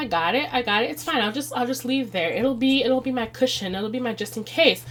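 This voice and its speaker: Against noticeable background noise, a woman with an American accent and a high pitch speaks at a fairly quick pace with lively intonation. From Chicago, US Midwest. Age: 30s. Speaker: budgeting video creator. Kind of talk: budgeting tutorial. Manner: casual, conversational.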